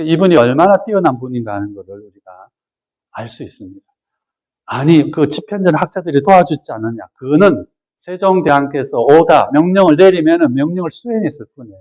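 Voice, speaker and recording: A man with a plain, everyday voice speaks at a fairly high pitch and a fairly quick pace, with lively intonation and big swings in loudness. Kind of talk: lecture. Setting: retreat with audience.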